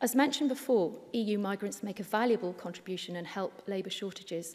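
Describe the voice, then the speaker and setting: A woman with an English accent talks at a fairly quick pace, using a medium pitch and ordinary pitch variation. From Wales. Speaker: politician. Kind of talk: parliamentary speech. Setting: parliament chamber. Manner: formal.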